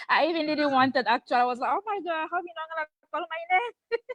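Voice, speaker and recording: A woman with a non-native accent and a high pitch talks at a fairly quick pace with very wide pitch swings, the sound dry and close with no echo. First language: not English. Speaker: program member. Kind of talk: testimony.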